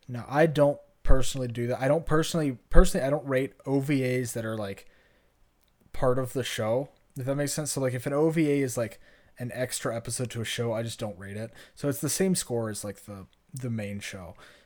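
In a very clean recording with a silent background, a man talks with an American accent in a normal speaking voice. His pitch is medium with ordinary variation, and his pace is fairly quick. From US South. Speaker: podcast co-host. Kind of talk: casual chat.

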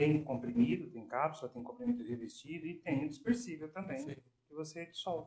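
A man with a plain, everyday voice talks at a fairly quick pace, his fairly high pitch moving in lively intonation. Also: big swings in loudness. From interior of São Paulo state, Brazil. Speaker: pharmacist. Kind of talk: podcast interview.

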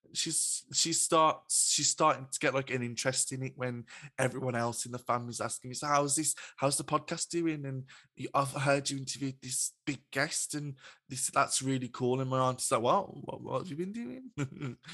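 This man has a medium-pitched voice with a bright, sharp tone, fairly even intonation and a moderate pace. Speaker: podcast host. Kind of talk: interview. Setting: video call. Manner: halting.

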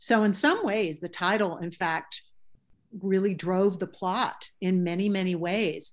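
Against a quiet background, a woman with a medium pitch talks at a fairly slow pace in fairly even intonation, a normal speaking voice. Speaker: novelist. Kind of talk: interview.

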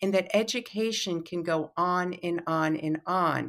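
In a very clean recording with a silent background, a woman with a fairly low pitch uses a plain, everyday voice and fairly even intonation. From New York City. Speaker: psychoanalyst and teacher. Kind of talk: interview.

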